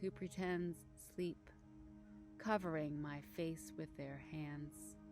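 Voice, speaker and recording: Over background music, a woman talks at a very slow pace. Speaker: poet. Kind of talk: poetry reading.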